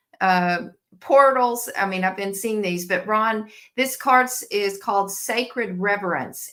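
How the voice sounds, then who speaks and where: This woman speaks in a Southern US accent at a very slow pace. Her medium-pitched voice has a bright, sharp tone and ordinary pitch variation. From Tennessee. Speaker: oracle card reader. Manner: hesitant, many filler words.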